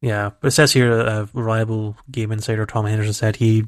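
Speaking in a Scottish accent with a fairly low pitch, a man keeps his intonation monotone and flat against a quiet background. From Scotland. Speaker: video game podcast co-host. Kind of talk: casual chat.

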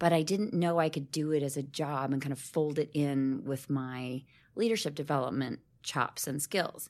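This woman's voice sits very deep and low in pitch. She talks at a moderate pace in a very clean recording with a silent background. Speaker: diversity and inclusion consultant. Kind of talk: casual interview chat. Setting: podcast interview.

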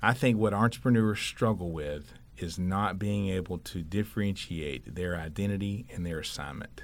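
A man speaks at a moderate pace in a very deep, low voice with ordinary pitch variation. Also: hardly any pauses. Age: 40s. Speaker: sporting goods retailer owner. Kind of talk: casual interview.

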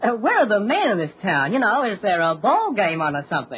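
Putting on a character voice, a man speaks at a fairly quick pace in a high pitch with a husky, rough edge and very wide pitch swings.

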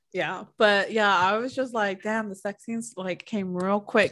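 With a normal speaking voice, a woman talks at a moderate pace and medium pitch, using ordinary pitch variation. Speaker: podcast host. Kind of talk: casual chat about a book. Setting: video call.

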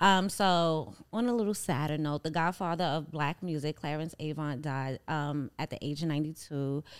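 A woman with a New York accent and a very deep, low pitch speaks at a moderate pace with ordinary pitch variation, in a very clean recording with a silent background. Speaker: podcast co-host. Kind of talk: casual chat.

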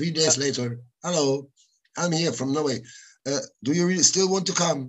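With a German accent, a man talks at a moderate pace with ordinary pitch variation and long, frequent pauses. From Germany, Cologne. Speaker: music producer and rock musician. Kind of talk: casual interview.

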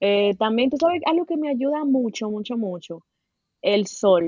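A woman with a Dominican accent speaks at a moderate pace with lively intonation. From Dominican Republic. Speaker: podcast guest sharing experience of depression. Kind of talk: casual chat.

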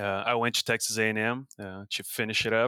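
A man with a Brazilian accent and a medium pitch, at a fairly quick pace, with fairly even intonation, a bright, sharp tone, and a dry, close sound with no echo. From Brazil, São Paulo state. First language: Portuguese. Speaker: professor and beef cattle researcher. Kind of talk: interview. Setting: video call.

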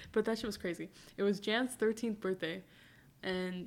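This is an unremarkable speaking voice with fairly even intonation and a fairly quick pace. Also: woman. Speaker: guest. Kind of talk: casual chat. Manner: laughing, casual.

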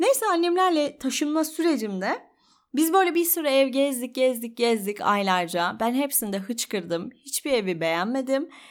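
At a moderate pace, a high-pitched woman speaks with very wide pitch swings on a very clean recording with a silent background. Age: 30s. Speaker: podcaster. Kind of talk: personal monologue.

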